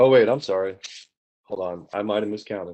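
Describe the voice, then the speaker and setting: Here a man talks at a fairly low pitch. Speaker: complainant in a utility hearing. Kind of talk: formal hearing testimony. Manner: fast.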